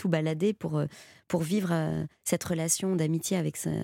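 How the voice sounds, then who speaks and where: A dark, mellow tone at a moderate pace. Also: woman. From Belgium. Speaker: actress. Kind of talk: radio interview. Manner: halting, with repetitions.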